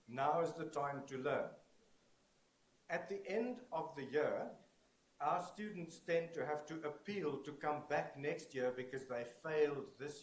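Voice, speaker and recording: With audible room echo, a man speaks at a fairly slow pace using ordinary pitch variation. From South Africa. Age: 60s. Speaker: conference keynote speaker. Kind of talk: keynote lecture. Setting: stage with audience. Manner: animated.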